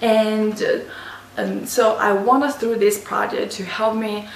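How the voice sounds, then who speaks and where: Audible room echo and noticeable background noise surround a woman speaking at a fairly slow pace with an Asian accent. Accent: non-native English, Asian. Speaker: university student. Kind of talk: class presentation. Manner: halting, many restarts.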